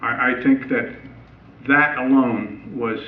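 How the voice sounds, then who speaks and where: In an American accent, a man talks at a medium pitch with ordinary pitch variation, and the recording has audible room echo. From southern New Jersey. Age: 70s. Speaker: retired high school band director. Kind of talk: public talk. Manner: halting, many fillers.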